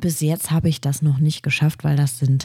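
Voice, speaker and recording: A woman's very deep, low voice, dark and mellow in tone, somewhat breathy, at a moderate pace. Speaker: podcast host, illustrator. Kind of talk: solo podcast monologue. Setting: home recording at a microphone. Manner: animated.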